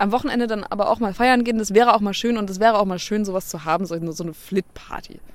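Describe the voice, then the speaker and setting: A woman talking at a very fast pace with hardly any pauses and ordinary pitch variation. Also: medium pitch for a woman. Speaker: podcast co-host. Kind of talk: casual chat. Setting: outdoors on a bench.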